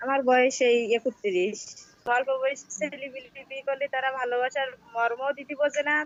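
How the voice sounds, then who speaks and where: A woman talks in a high voice, her intonation staying fairly even. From Bangladesh, Satkhira. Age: 30s. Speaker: divorced woman seeking marriage. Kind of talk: interview.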